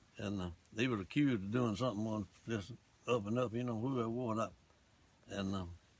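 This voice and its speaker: Speaking with an Alabama accent, a man talks at a moderate pace in a medium pitch with ordinary pitch variation. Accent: Southern US (Alabama). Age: 80s+. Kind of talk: interview answer.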